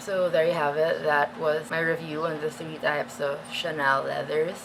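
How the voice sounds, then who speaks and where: Delivered at a moderate pace in a flat monotone, the voice sits over noticeable background noise. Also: woman. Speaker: fashion and luxury bag YouTuber. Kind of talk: product review. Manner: casual, filler-heavy.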